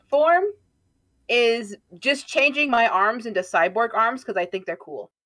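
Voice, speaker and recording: Speaking with lively intonation at a fairly high pitch, this woman has an unremarkable speaking voice. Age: 20s. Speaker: vtuber streamer. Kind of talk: casual chat. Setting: live stream.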